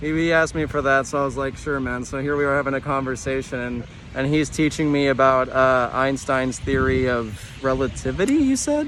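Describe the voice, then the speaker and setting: A man speaks at a medium pitch in a flat monotone, with noticeable background noise behind him. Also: fairly quick pace. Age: 20s. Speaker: youtuber. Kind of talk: live stream chat.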